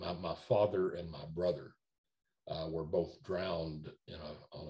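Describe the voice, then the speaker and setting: A very slow pace in an American accent against a quiet background. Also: man. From Nashville, Tennessee; Tennessee. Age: 70s. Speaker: entertainment lawyer. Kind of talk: oral history interview. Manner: halting, many fillers and repetitions. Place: home room. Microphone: video call.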